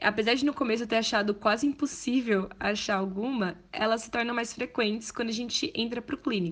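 This woman has a normal speaking voice, fairly high in pitch, with ordinary pitch variation. She talks at a fairly quick pace with hardly any pauses. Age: 20s. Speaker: medical student. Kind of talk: testimony.

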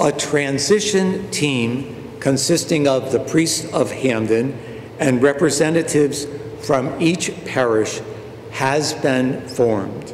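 A man with a fairly high pitch talks at a very slow pace with ordinary pitch variation and very even loudness, over noticeable background noise. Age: 70s. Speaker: parish priest. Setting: church, recorded for online viewing.

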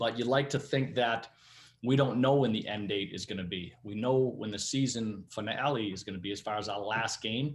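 This man has a strong Boston accent, a medium pitch, and ordinary pitch variation, recorded very cleanly against a silent background. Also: moderate pace. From Massachusetts, New Bedford area. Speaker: hockey head coach. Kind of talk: interview.

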